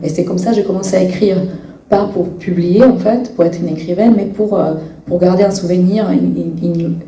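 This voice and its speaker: Over noticeable background noise and audible room echo, a woman with a fairly low voice speaks at a moderate pace with fairly even intonation. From Bosnia and Herzegovina. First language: Bosnian/Serbo-Croatian (speaking French). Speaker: novelist. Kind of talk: interview at a public reading event. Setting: library event with audience. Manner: halting, many hesitations.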